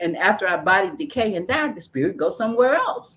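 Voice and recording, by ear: A woman's medium-pitched voice, fairly bright with a slightly husky edge, big pitch swings and a fairly quick pace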